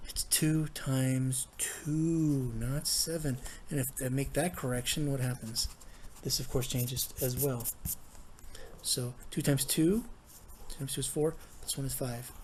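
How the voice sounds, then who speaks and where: Long, frequent pauses break up this man's somewhat breathy, fairly high voice, which has fairly even intonation. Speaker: math teacher. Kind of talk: tutorial. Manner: fast.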